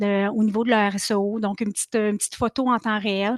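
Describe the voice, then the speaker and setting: A woman with a Quebec accent, fairly high pitch, fairly quick pace, dry, close sound with no echo and a quiet background. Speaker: marketing consultant, speaker. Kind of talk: Q&A answers; webinar presentation. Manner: fast; hesitant fillers (euh).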